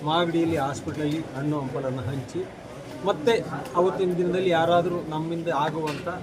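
A fairly high male voice with fairly even intonation, amid audible room echo and noticeable background noise. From Karnataka, Magadi area. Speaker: community organization leader and activist. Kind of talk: press interview.

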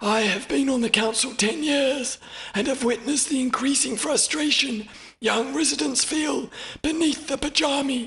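A man does a put-on character voice at an extremely high pitch, moving at a moderate pace. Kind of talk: audiobook character reading. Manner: formal, measured, grave.

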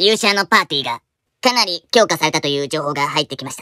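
A cartoonish character voice at a middle pitch and a very fast pace. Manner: polite, formal.

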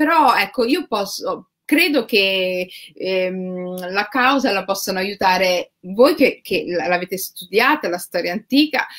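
The speaker is a woman taking a fairly slow speed. Her pitch moves in very wide swings. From Rome, Italy. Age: 40s. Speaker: writer. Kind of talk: interview conversation. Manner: halting, many fillers.

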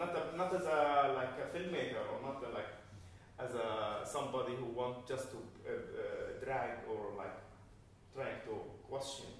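Through strong room echo and light background noise, a man speaks at a fairly slow pace with long, frequent pauses. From Gaza, Palestine. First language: Arabic. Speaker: documentary filmmaker. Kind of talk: post-screening Q&A. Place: hall. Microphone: camera far.

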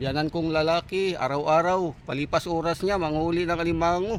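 Ordinary pitch variation in a man's high voice. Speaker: vlogger. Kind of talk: casual vlog narration. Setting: outdoors by a river.

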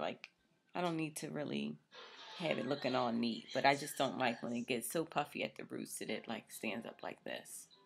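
A woman's very deep, low voice with very wide pitch swings. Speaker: vlogger. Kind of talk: casual vlog talk. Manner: casual, hesitant with fillers.

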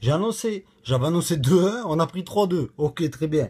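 A man speaks in an animated tone at a fairly high pitch. He takes a fairly slow pace. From Toulouse, southern France; southern France. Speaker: football fan vlogger. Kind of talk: casual rant to camera. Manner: loud. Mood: frustrated but joking. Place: home room. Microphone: phone near.

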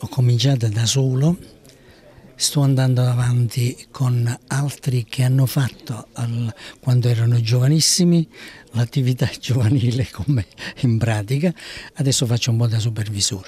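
In a dry sound with no echo, a somewhat breathy man speaks at a moderate pace and medium pitch. His intonation is fairly even, broken by long, frequent pauses. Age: 70s. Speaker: youth football coach. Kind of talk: interview. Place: meeting room. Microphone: handheld.

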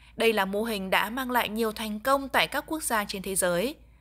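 With lively intonation and a fairly high pitch, a woman speaks at a moderate pace over noticeable background noise. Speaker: news reporter. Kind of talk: scripted news voiceover. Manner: formal.

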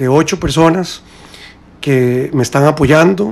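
Ordinary pitch variation and a very slow pace from a man with a fairly high voice. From Costa Rica. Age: 40s. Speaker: presidential candidate; interview guest, candidate. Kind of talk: radio interview. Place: studio. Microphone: studio mic.

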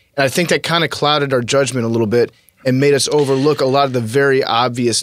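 In a dry sound with no echo, a man talks at a very fast pace with ordinary pitch variation and very even loudness. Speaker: sports podcast host. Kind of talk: casual chat. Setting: studio. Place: studio. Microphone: studio mic.

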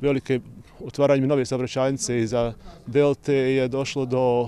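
At a fairly slow pace, a man speaks with ordinary pitch variation, the sound dry with no echo and light background noise. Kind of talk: interview answer. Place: street. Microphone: handheld.

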